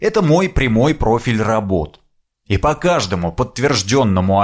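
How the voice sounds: The background stays quiet. A natural reading voice carries the text.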